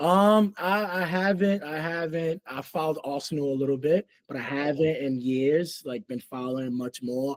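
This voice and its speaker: A man with a New York accent at a moderate pace, lively intonation, and a dry, close sound with no echo. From New York City (Queens, Harlem). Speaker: rugby coach. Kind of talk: casual interview. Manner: halting, many fillers.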